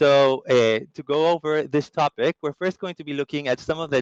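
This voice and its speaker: This man talks with a Latin American accent at a fairly quick pace, his pitch fairly high. The sound is dry and close with no echo, and his pitch varies in an ordinary way. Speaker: customer strategy lead and former journalist. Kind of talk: webinar presentation. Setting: online summit.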